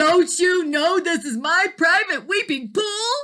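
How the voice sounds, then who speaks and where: A woman puts on a character voice, pitched extremely high, and delivers her lines fairly slowly. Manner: angry.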